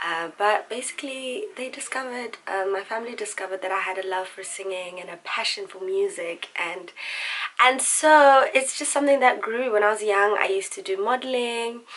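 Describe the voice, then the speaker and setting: A woman with a South African accent, fairly high pitch, a fairly quick pace, lively intonation, a warm and relaxed tone, big swings in loudness, and noticeable background noise. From South Africa, Pretoria. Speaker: singer and vlogger. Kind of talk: casual chat. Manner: warm, relaxed.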